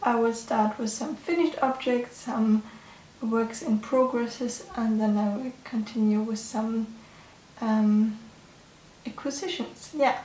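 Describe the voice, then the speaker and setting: Amid noticeable background noise, a woman with a fairly high pitch speaks at a fairly slow pace. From Germany. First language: German. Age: 20s. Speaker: knitting podcaster. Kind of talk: casual chat. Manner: halting.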